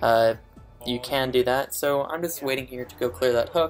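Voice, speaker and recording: A man at a medium pitch, fairly quick and fairly even in intonation, with music in the background. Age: young. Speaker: gaming commentator. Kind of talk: gameplay commentary. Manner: quiet, not loud; even standard tone, not extravagant.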